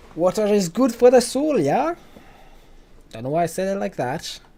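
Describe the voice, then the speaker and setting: A man's dark, mellow voice, fairly quick, with very wide pitch swings. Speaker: gaming streamer. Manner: casual, chatty commentary.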